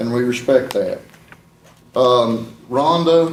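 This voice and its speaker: A man talks with an Appalachian accent at a medium pitch. Room echo is audible. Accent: Appalachian southern US. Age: 60s. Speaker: family member accepting a resolution. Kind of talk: public meeting speech. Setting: county board meeting.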